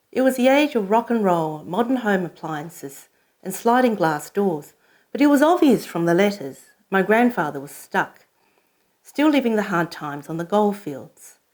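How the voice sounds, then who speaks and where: Spoken at a moderate pace with an Australian accent, the voice swings very widely in pitch over a very clean recording with a silent background. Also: woman, medium pitch for a woman. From Hong Kong, then Australia. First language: Cantonese. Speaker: storyteller. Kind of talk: personal narration.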